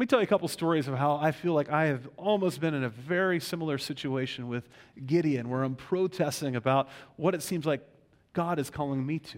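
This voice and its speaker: A man with an ordinary speaking voice and an American accent, fairly high in pitch with ordinary pitch variation, at a fairly quick pace on a very clean recording with a silent background. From Western Pennsylvania, Pittsburgh. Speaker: pastor. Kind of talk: sermon. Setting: church.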